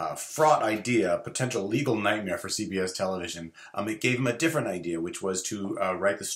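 Someone reads aloud plainly. The intonation is lively.

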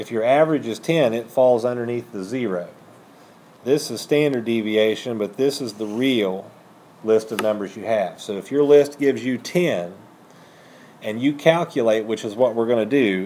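Ordinary pitch variation and a moderate pace in a man's speech. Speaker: high school math teacher. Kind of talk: lecture. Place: classroom.

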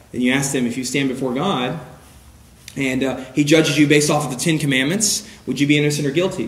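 With noticeable background noise, a man talks at a fairly quick pace in a fairly high pitch, his intonation fairly even. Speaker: church evangelism teacher. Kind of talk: lecture. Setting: church with audience. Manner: preaching style.

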